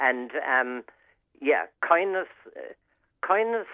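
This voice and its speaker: A man speaks at a fairly slow pace with an Irish accent. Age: 70s. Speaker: regular contributor. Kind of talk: radio chat. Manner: halting.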